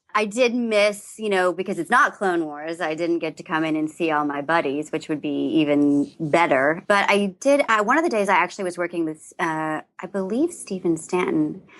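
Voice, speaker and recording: A woman with an American accent speaks at a moderate pace with hardly any pauses against a quiet background. Her fairly low voice has lively intonation. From US South. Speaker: voice actress. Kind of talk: podcast interview.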